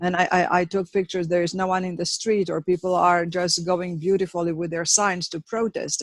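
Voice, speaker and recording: A woman with a non-native accent speaks at a moderate pace in a fairly low pitch with fairly even intonation. The sound is dry and close with no echo, over a quiet background. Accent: foreign accent noticeable. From Romania. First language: Romanian. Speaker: protester. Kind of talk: roundtable discussion. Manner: halting, many fillers.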